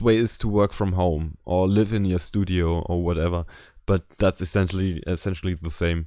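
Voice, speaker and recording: A man with a German accent speaks in a very deep, low pitch on a very clean recording with a silent background. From Germany. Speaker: artist and podcast co-host. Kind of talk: casual chat.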